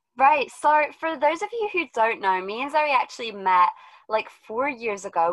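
A woman's unremarkable speaking voice at a moderate pace, with lively intonation. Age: 20s. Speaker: podcast host. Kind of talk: casual chat.

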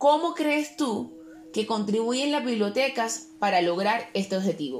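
A woman with an unremarkable speaking voice, fairly high pitch, lively intonation and a fairly slow pace. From Cartagena, Colombian Caribbean coast. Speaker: cultural correspondent and historian. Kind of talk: radio-style interview and scripted presenting.

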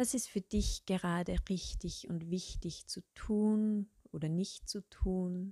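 In a very clean recording with a silent background and a dry, close sound with no echo, a woman of medium pitch speaks at a very slow pace in a dark, mellow, somewhat breathy, calm, soothing tone with fairly even intonation. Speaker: meditation guide. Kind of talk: guided meditation. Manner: slow, calm, soothing with long pauses; soft-spoken, gentle.

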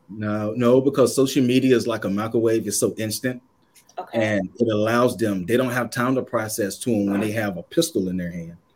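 At a fairly quick pace, a man talks in an unremarkable speaking voice, medium in pitch with ordinary pitch variation. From Kannapolis, North Carolina. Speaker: author and youth worker.

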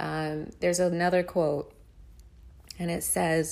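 A woman's fairly low voice at a very slow pace, with audible room echo. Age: 30s. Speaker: podcast host. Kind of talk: casual chat. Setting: home recording in a noisy warehouse district. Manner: laughs often.

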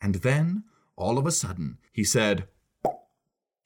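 Everything behind the voice is quiet. A natural reading voice carries the text.

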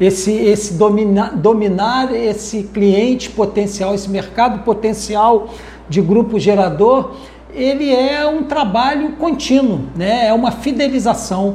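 A man talks at a fairly slow pace in a high pitch with ordinary pitch variation. Noticeable background noise and audible room echo surround him. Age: 60s. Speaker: power generator industry consultant. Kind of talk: podcast interview. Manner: casual, frequent fillers.

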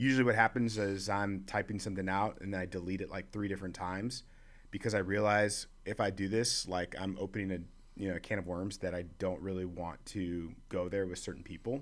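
With fairly even intonation, a man talks in an ordinary speaking voice at a fairly low pitch. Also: fairly quick pace. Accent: American. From Chicago. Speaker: leadership organization worker. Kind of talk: casual chat.

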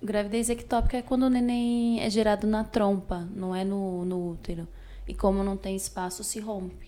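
A plain, everyday voice from a woman, medium-pitched, at a moderate pace, with fairly even intonation. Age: 20s. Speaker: podcast guest. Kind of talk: casual interview.

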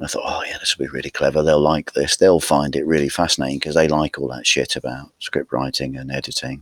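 A man with a Norfolk accent talks at a very fast pace with hardly any pauses, his very deep, low pitch held in a monotone, flat intonation. The sound is dry and close, with no echo. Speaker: podcast co-host. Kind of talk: casual banter about films.

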